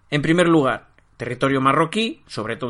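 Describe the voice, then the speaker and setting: The man's pitch is fairly high, and his tone is bright and sharp. He speaks at a moderate pace against a quiet background. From Spain, Barcelona. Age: 50s. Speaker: history podcaster. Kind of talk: casual interview chat.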